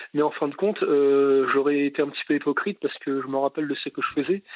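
Here a man speaks in a fairly high pitch. His pace is fairly quick. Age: 20s. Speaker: radio caller. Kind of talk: casual chat. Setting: phone call. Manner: halting.

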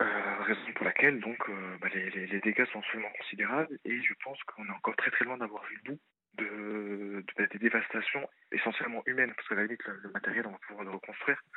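Here a man speaks at a fairly quick pace in an ordinary speaking voice of medium pitch. His intonation is fairly even, but his loudness swings widely. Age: 30s. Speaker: caller. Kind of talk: appeal for donations.

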